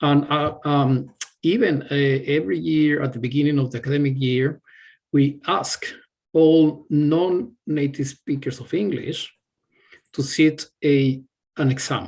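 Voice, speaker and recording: Pausing long and often, a man with a Spanish accent talks at a fairly slow pace and a fairly high pitch with ordinary pitch variation. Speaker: university staff member answering student questions. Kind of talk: webinar Q&A. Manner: halting, many fillers and repetitions.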